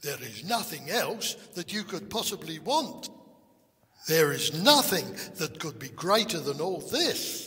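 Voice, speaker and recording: Using a put-on character voice, a man talks at a fairly slow pace with a high pitch. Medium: read story. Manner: timid, hesitant.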